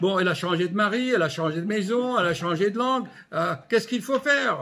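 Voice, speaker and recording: A man's voice sits high in pitch. It rises and falls with ordinary variation. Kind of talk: casual vlog chat. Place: home room. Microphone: phone near.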